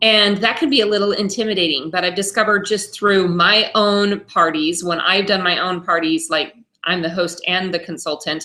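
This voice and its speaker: With an unremarkable speaking voice, a woman talks at medium pitch and a moderate pace, with fairly even intonation and hardly any pauses. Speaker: home party consultant. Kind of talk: tutorial. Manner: casual, many fillers.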